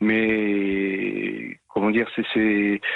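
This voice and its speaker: This is a man speaking. His pitch is fairly low. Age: 60s. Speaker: caller, former police officer and double amputee. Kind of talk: personal testimony on radio. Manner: halting, many repetitions and hesitations.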